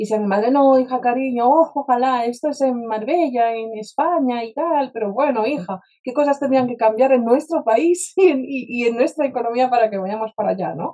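A woman's high, dark, mellow voice at a fairly quick pace, with ordinary pitch variation and hardly any pauses. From Poland, Warsaw. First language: Polish (speaking Spanish). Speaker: spiritual mentor and speaker. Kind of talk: interview conversation. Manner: direct.

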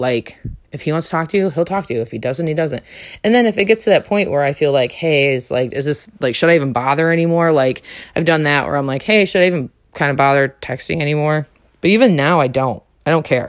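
In an American accent, a woman with a very deep, low voice talks very fast with lively intonation. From New York. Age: 30s. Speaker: podcast host. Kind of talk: solo monologue.

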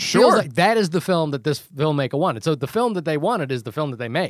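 Against a very clean, silent background, a man speaks at a fairly high pitch with very wide pitch swings. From New Zealand. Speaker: podcast co-host. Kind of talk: casual conversational film discussion.

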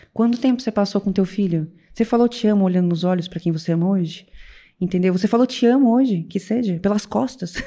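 A woman talks at a very fast pace at medium pitch, with ordinary pitch variation and a somewhat breathy, dark, mellow tone. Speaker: weight-loss coach. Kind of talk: casual chat. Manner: talkative.

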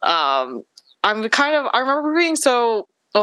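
A bright, sharp tone with very wide pitch swings comes through in a dry, close sound with no echo. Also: woman. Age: 20s. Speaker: podcast guest, student. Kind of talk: casual chat.

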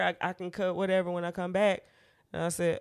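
The very clean recording, with its silent background, captures a woman speaking. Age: 30s. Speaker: podcast co-host. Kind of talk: casual chat.

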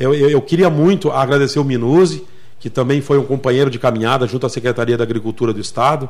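Talking very fast, the man holds a medium pitch and varies it in an ordinary way. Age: 50s. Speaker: municipal agriculture secretary. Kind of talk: radio interview. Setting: radio studio.

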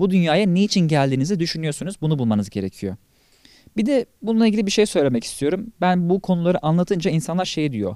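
A man's high voice with a dark, mellow tone, very wide pitch swings and a very fast pace, dry and close with no echo. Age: 20s. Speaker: podcast host, personal development content creator. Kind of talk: solo monologue podcast.

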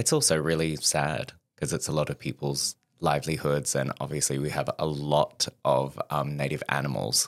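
Man with an Australian accent at a moderate pace, very clean recording with a silent background, dry and close sound with no echo. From Australia, Perth. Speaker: podcast guest. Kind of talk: casual chat. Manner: humorous deadpan delivery.

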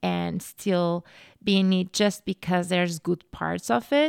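A woman's medium-pitched voice with a Portuguese accent at a fairly slow pace, in a very clean recording with a silent background and a dry, close sound with no echo. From Portugal. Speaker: podcast host. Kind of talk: solo podcast monologue. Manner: animated.

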